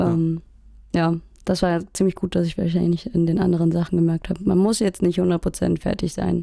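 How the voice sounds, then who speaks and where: Fairly low female voice, dark and mellow, with fairly even intonation, very even loudness and a fairly quick pace. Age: 20s. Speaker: music student and band musician. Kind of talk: casual chat.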